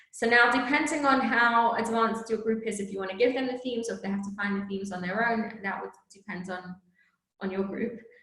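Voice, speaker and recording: A woman talks at a very fast pace with fairly high pitch and fairly even intonation, and audible room echo hangs around her words. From England and South Africa. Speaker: teacher trainer. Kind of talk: teacher training presentation. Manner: casual, conversational with fillers.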